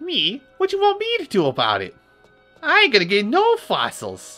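A put-on character voice speaks high in pitch at a moderate pace. Faint music plays in the background. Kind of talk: tough slang. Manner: gruff, grumbling.

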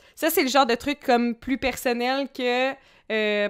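On a very clean recording with a silent background, a woman speaks at a high pitch. Her pitch variation is ordinary. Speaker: streamer, podcast host. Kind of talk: casual chat.

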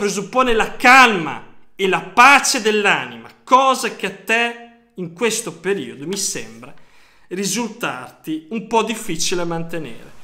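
Raising and projecting his voice, a man speaks high and bright with a sharp tone and lively intonation. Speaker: football fan youtuber. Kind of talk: casual monologue commentary. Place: home room. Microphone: phone near.

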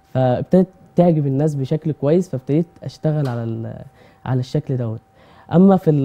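A man is talking at a moderate pace. His pitch variation is ordinary. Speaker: guest. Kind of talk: interview answer. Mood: modest, friendly. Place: studio.

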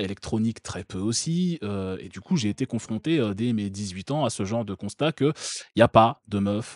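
The sound is dry and close with no echo, over a quiet background. A man speaks in a plain, everyday voice, fairly low in pitch with ordinary pitch variation. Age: 30s. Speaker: streamer reacting to a video. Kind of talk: casual live-stream commentary.

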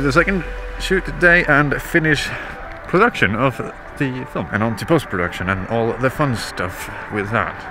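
A man is speaking, with clear music in the background. The sound is dry, with no echo. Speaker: vlogger. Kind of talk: casual vlog chat. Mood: cheerful, joking. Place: open country. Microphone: phone near.

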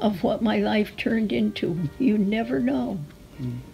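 A woman at medium pitch with an American accent, very slow pace and very wide pitch swings, faint music in the background. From Connecticut. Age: 80s+. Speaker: retired nursery school teacher. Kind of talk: interview answer. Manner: whispered. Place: home room.

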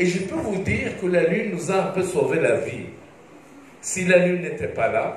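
A man speaks at a fairly slow pace, with audible room echo and light background noise. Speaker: presenter. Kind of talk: lecture. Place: stage.

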